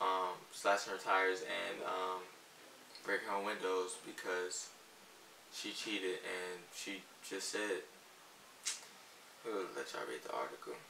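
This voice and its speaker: Against noticeable background noise, a man talks at a fairly slow pace with long, frequent pauses. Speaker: vlogger. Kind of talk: casual vlog chat. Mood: joking, deadpan. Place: home room.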